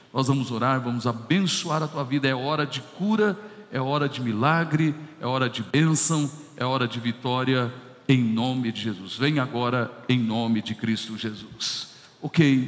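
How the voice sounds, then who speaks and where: A man talks at a fairly slow pace with ordinary pitch variation. Noticeable background noise is present. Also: medium pitch for a man. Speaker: pastor. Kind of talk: sermon.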